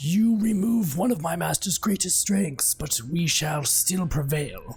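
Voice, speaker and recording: Over music in the background, a man uses a put-on character voice at a fairly high pitch, moving at a moderate pace with lively intonation. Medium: audio drama. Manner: calm, measured.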